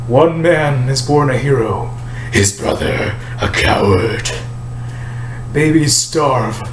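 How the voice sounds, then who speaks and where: A man performs a put-on character voice at a medium pitch and a very slow pace. Loud noise fills the background. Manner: manic.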